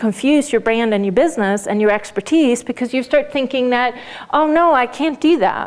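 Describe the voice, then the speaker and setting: Noticeable background noise sits under speech delivered at a fairly quick pace with ordinary pitch variation. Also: woman. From Sweden. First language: Swedish. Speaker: business coach. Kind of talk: lecture.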